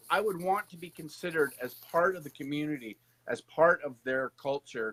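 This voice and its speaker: In a normal speaking voice with a Canadian accent, the speaker moves at a fairly quick pace with lively intonation. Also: man. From Canada. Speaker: political candidate and host. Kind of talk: live stream interview.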